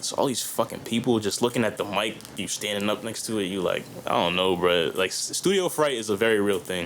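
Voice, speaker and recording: Fairly low-pitched man talking at a fairly quick pace amid noticeable background noise. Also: ordinary pitch variation. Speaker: rapper. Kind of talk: casual chat. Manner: animated.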